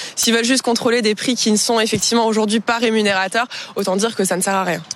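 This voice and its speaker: Amid noticeable background noise, a woman speaks fairly quickly in a fairly high voice with monotone, flat intonation. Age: young. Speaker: cattle farmer. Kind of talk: news interview. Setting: on a farm.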